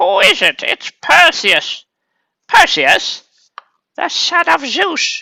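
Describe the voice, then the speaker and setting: This is a put-on character voice at a very slow pace. Long pauses come often. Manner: comic, exaggerated.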